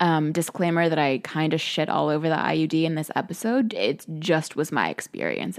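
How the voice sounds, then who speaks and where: A woman talks at a fairly low pitch and a fairly quick pace. The recording is very clean with a silent background. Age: 20s. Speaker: podcast host, gut health coach. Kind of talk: casual solo monologue. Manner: animated.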